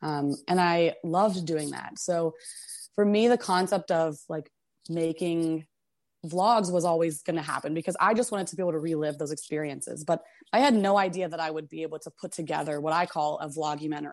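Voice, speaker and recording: Against a quiet background, a woman with an American accent and a normal speaking voice talks at a fairly quick pace and a fairly low pitch with ordinary pitch variation. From US Northeast. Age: 30s. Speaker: long-distance hiker. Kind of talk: interview.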